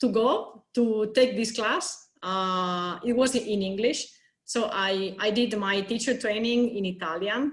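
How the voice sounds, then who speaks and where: At a very slow pace, a woman with a Spanish accent speaks in a fairly high voice with ordinary pitch variation. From Spain. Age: 30s. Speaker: consultant and yoga teacher. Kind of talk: interview. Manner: halting.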